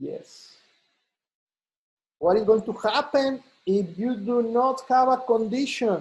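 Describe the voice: A man speaks slowly at an extremely high pitch, with ordinary pitch variation. His tone is slightly mellow with a slightly husky edge.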